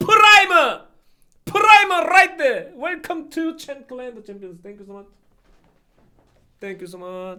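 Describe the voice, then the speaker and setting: A man raises and projects his extremely high-pitched voice at a very slow pace, with very wide pitch swings, big swings in loudness, and long, frequent pauses. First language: not English. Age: 40s. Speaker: live streamer. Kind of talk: live stream chat.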